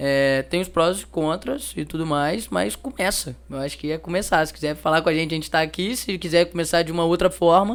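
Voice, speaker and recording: A man with a Minas Gerais accent talks at a fairly quick pace, his pitch fairly high with ordinary variation. The recording is very clean, with a silent background. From Minas Gerais, Brazil (Juiz de Fora). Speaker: customer feedback company representative. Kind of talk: interview. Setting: event interview.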